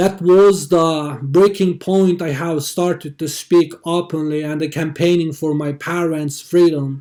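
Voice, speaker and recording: This man speaks in a Xinjiang accent with a high pitch and a dark, mellow tone. His pace is fairly slow, with hardly any pauses. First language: Uyghur. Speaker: activist. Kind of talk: testimony. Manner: halting.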